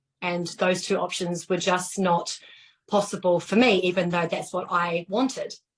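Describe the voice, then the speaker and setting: A woman speaks in a New Zealand accent. Her pitch is medium and her pace moderate. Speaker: fitness instructor turned online entrepreneur. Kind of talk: testimony. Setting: Facebook live video call. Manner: animated.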